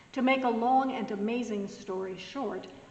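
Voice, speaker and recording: With noticeable background noise and audible room echo, a woman talks at a fairly slow pace and a fairly high pitch. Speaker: pastor. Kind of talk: recorded devotional message.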